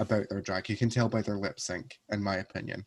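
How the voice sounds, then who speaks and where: A man talks with a Scottish accent. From Scotland, Paisley near Glasgow. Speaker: drag performer. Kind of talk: casual chat.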